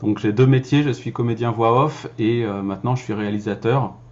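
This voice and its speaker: This man talks fairly quickly, keeping a medium pitch that varies in an ordinary way. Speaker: voice-over actor and filmmaker. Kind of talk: casual vlog talk. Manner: hesitant, many fillers.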